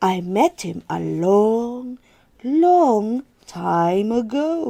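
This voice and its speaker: A female-sounding put-on character voice comes through at a fairly high pitch. It moves at a very slow pace over a quiet background. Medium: read story.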